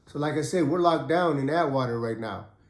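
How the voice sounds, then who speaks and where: A man talks at a fairly quick pace in a relaxed tone. Audible room echo surrounds his voice. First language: Khmer. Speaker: ex-prisoner telling prison stories. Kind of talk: casual storytelling monologue. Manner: relaxed, conversational.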